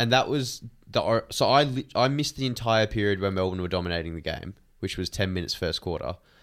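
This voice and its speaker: On a very clean recording with a silent background, a man with an Australian accent and a fairly low pitch talks at a very fast pace with lively intonation. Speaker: podcast co-host, footy fan. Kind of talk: casual banter.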